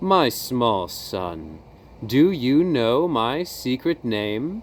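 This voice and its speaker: Someone puts on a character voice and speaks at a very slow pace. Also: man, medium pitch for a man. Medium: read story. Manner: gentle, unhurried.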